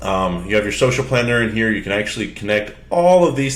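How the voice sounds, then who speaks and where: Man with a fairly low pitch and audible room echo. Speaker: software demo presenter. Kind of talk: tutorial. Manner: fast; casual, filler-heavy.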